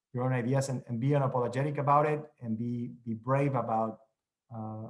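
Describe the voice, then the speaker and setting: This man talks at a fairly quick pace with a Mexican accent and a flat, monotone intonation. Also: big swings in loudness. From Mexico. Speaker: TV news correspondent. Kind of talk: panel discussion.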